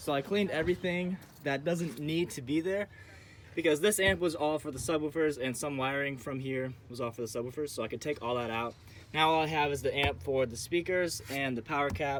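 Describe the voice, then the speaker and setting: A man's unremarkable speaking voice, fairly high in pitch, with ordinary pitch variation and a fairly quick pace. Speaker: vlogger. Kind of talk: casual vlog tutorial.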